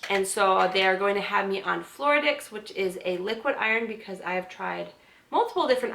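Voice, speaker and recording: A woman's speech comes at a fairly quick pace. Noticeable background noise is present throughout. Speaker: vlogger. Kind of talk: casual vlog update.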